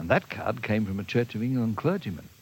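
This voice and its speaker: A man speaks with an Australian accent. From Australia, Melbourne. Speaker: minister. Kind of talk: storytelling.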